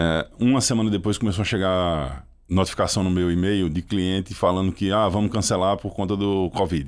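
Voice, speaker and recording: Over a quiet background, a man with a slight Pernambuco accent speaks at a moderate pace in a very deep, low pitch, his intonation fairly even. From Pernambuco sertão, Brazil. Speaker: startup CEO and founder; guest. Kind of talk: podcast interview. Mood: reflective storytelling. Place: studio. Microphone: studio mic.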